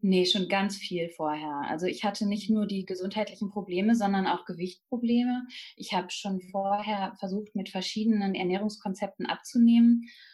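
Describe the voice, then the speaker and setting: At a moderate pace and medium pitch, a woman speaks with fairly even intonation, somewhat breathy and with hardly any pauses. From Germany, Münsterland. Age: 30s. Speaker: nutrition counselor. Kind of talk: interview. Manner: hesitant with many fillers.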